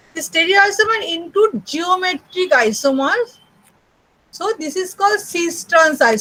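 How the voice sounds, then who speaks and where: The voice is raised and projected, with a bright, sharp tone. It moves at a moderate pace with lively intonation. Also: woman. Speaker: university chemistry lecturer. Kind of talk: lecture. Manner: hesitant, many fillers.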